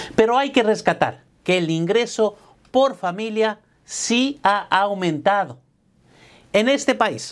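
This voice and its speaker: Lively in his intonation, a man speaks at a very slow pace. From Latin America. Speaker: accountant and tax preparer; business coach. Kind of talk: scripted narration. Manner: motivational. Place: office. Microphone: lapel.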